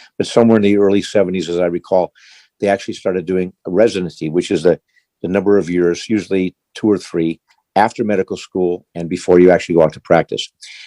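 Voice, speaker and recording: With a very deep, low pitch and a dark, mellow tone, a man speaks very fast in a monotone, flat delivery, the sound dry and close with no echo. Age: 70s. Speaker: retired physician. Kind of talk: interview. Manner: halting, with frequent repetitions.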